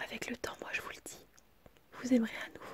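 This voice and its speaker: Moderate-paced whispering from a woman. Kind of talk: ASMR whispered relationship advice. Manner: whispered, soft-spoken.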